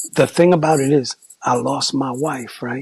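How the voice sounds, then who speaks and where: At a fairly slow pace, a somewhat breathy man speaks with ordinary pitch variation in a dry, close sound with no echo. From New York, the Bronx. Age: 60s. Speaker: former graffiti artist and hip hop figure. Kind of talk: testimony. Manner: animated.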